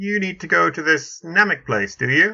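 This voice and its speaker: A man's put-on character voice, high in pitch, at a moderate pace over a quiet background. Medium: read story. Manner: haughty, scornful.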